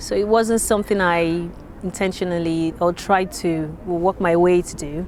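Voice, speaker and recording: A woman with a Yoruba accent, a fairly low pitch, a moderate pace and fairly even intonation. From Nigeria (Lagos). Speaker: interviewee, migrant. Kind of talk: interview testimony. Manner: hesitant, many fillers.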